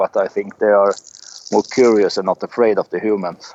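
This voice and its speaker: Moderate-paced male speech in a Swedish accent. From Sweden. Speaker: outdoorsman. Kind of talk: interview. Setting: Skype call from the forest outdoors. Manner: halting, many hesitations.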